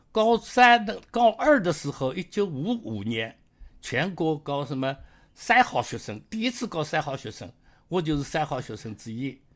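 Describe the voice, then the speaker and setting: On a very clean recording with a silent background, a man talks at a fairly slow pace, his loudness swinging widely and his pitch swinging very widely. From Jiangsu, Jiangyin countryside. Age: 80s+. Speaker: retired engineer. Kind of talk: life story interview. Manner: halting, many fillers.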